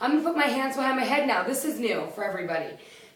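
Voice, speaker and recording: Amid noticeable background noise and audible room echo, a woman speaks at a high pitch in an energetic tone. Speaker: fitness competitor and trainer. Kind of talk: workout instruction. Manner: loud; energetic, counting reps.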